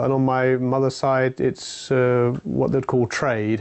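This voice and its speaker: A man's medium-pitched voice in a southern English accent, monotone and flat, at a fairly slow pace. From England, London. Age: 40s. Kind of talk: personal testimony. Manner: hesitant, many fillers.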